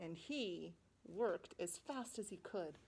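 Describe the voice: This plain reading aloud carries a lively intonation.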